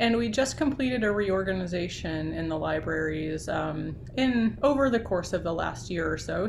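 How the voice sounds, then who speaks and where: Her intonation is lively, and her pitch sits fairly low for a woman. Audible room echo and noticeable background noise come through. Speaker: university library associate dean. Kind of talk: talk to student group on video call. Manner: fast.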